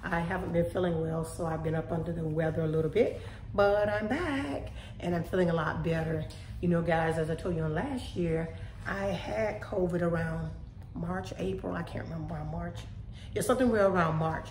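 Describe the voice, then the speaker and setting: A woman talks at a fairly quick pace with audible room echo and light background noise. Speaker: home vlogger. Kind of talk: casual vlog chat. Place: kitchen. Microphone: phone near.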